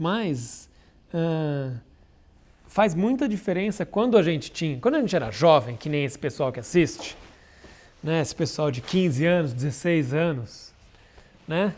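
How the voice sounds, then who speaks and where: A man with a fairly high voice speaks at a fairly slow pace, with lively intonation and long, frequent pauses. The recording is very clean, with a silent background. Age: 40s. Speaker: comic artist. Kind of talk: casual chat. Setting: live stream.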